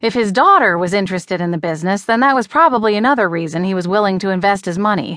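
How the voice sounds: A natural reading voice is what this recording offers.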